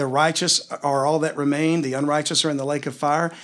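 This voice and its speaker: Delivered at a fairly quick pace, this is a normal speaking voice. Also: man. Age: 50s. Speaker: podcast host teaching the Bible. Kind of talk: Bible teaching in a casual chat.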